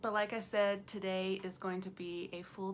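Light background noise sits behind a woman talking at a fairly slow pace with fairly even intonation. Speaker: vegan food vlogger. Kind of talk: casual vlog chat. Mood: cheerful, smiling, laughing. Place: home room. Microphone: phone near.

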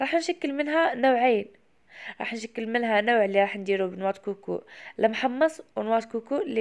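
Speaking at a moderate pace, a woman with an Algerian accent has a fairly high pitch and ordinary pitch variation. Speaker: cooking video creator. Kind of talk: cooking tutorial.

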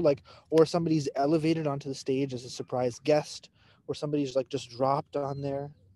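Dark and mellow in tone, a man speaks at a fairly quick pace with fairly high pitch and a dry sound with no echo. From Pakistan. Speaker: physician educator. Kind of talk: interactive case discussion. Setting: outdoors at a dog park on a video call. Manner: animated. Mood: playful, joking. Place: garden. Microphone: video call.

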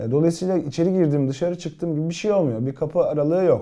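Against a quiet background, a man with a high pitch and a dark, mellow tone speaks at a fairly quick pace. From Turkey, Gaziantep; Turkey. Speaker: TV actor and writer; actor answering fan questions. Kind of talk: casual live-stream Q&A. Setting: live stream, alone reading viewer comments. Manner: hesitant, many filler sounds. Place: office.

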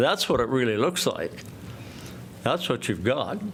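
A man with a medium-pitched voice talks in a room with audible echo. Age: 70s. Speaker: property owner, public commenter. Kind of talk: public comment at council meeting. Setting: city council chamber. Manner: loud.

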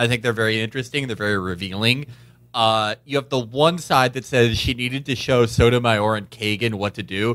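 A man speaks in an ordinary speaking voice at medium pitch. He talks at a fairly quick pace with fairly even intonation. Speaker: political podcast co-host. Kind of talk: casual political chat.

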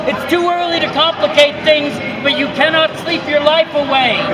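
A man is speaking. Loud noise fills the background. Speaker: poet performing in public. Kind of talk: poetry performance, spoken-word poem performed in public. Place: street. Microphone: phone near.

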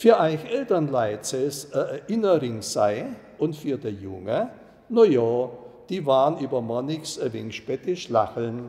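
A man's fairly high voice at a fairly slow pace, with very wide pitch swings. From Ore Mountains, Bohemia. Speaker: dialect storyteller. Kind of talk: dialect story reading. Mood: calm, nostalgic. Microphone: lapel.

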